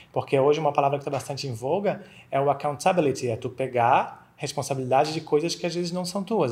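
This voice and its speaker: A man with a Florianópolis accent talks fairly quickly in a fairly high, somewhat breathy voice. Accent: Florianópolis accent, noticeable. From Florianópolis, southern Brazil. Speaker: accountant. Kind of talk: casual interview chat.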